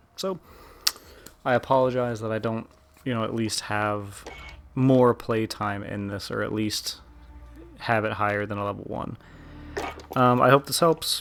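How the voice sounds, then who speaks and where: Quiet speech at a moderate pace, with long, frequent pauses and music in the background. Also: man, medium pitch for a man. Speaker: gaming YouTuber. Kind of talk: gameplay commentary. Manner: monotone.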